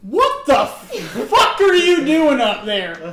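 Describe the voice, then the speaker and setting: Delivered at a very slow pace, the put-on character voice sits at a high pitch. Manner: angry, demanding.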